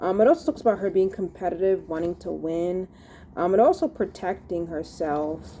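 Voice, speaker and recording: A woman's dark, mellow tone at medium pitch, moderate pace, and ordinary pitch variation. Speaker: tarot reader. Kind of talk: tarot reading monologue. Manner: halting, many fillers.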